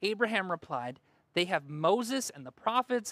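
A woman's dramatic tone with vocal fry and very wide pitch swings, at a fairly slow pace, in a very clean recording with a silent background. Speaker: pastor. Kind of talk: sermon; dramatic narration. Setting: church. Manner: dramatic, expressive storytelling voice; informal, conversational.

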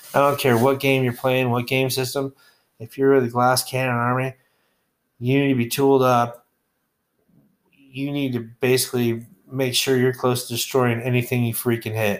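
A man with an American accent speaks at medium pitch in monotone, flat intonation, with long, frequent pauses. The recording is very clean with a silent background. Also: moderate pace. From Texas. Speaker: podcast host, wargaming reviewer. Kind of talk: casual solo podcast monologue.

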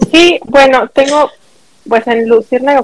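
A woman talks in a Mexican accent at a fairly slow pace with lively intonation. The sound is dry and close with no echo. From Mexico. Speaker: podcast guest sharing medical story. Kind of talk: casual chat, personal testimony.

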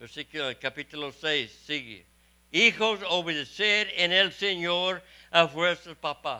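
This man has a high pitch, a bright, sharp tone and lively intonation, captured on a very clean recording with a silent background. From Texas. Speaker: missionary preacher. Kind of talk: sermon.

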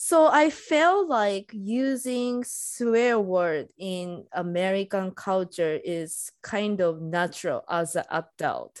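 A woman with a Japanese accent speaks very slowly at a medium pitch, her intonation lively. The recording is very clean, with a silent background. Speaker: podcast co-host. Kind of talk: casual chat. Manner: halting.

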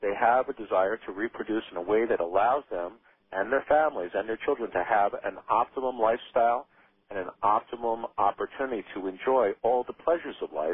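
Speaking in a plain, everyday voice, a man keeps a fairly quick pace. His pitch is medium, with ordinary pitch variation. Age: 40s. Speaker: anti-aging physician. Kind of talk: radio interview.

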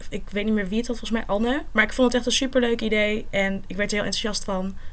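A woman speaks with fairly high pitch and fairly even intonation. Audible room echo is present. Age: 20s. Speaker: university student and volunteer. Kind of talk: casual interview.

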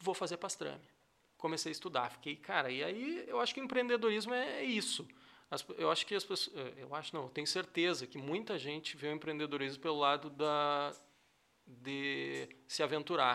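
A man with a fairly high pitch talks in a bright, sharp tone with lively intonation. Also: moderate pace, very clean recording, silent background. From southern Brazil, rural area near Cachoeira do Sul. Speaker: airline pilot and entrepreneur. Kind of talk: casual interview chat. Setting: studio.

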